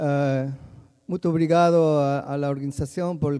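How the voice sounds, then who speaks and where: Here a man speaks at a fairly slow pace. His pitch is fairly high, and his tone is dark and mellow. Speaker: soil science professor. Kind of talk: conference lecture. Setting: conference hall, livestreamed. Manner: halting, many fillers and repetitions; mixes Portuguese and Spanish.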